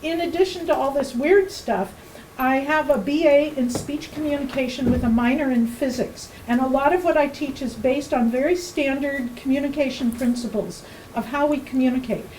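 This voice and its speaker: A woman speaks loudly in a high pitch with ordinary pitch variation. Audible room echo and noticeable background noise surround her. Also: moderate pace. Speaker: workshop teacher. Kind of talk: presentation. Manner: loud, projected; halting.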